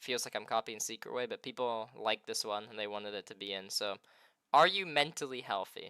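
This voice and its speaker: A quiet man with a medium pitch and a bright, sharp tone speaks at a fairly quick pace with ordinary pitch variation, in a very clean, dry, close recording with a silent background and no echo. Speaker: interviewer on streaming channel. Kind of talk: live stream interview.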